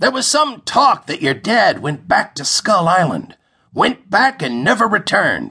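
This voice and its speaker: A man's put-on character voice, high-pitched, with very wide pitch swings. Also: moderate pace. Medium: read story. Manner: easygoing, matter-of-fact.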